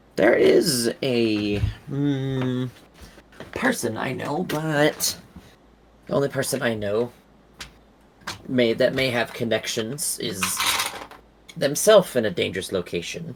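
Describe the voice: A man puts on a raspy character voice at a medium pitch. He talks at a fairly slow pace.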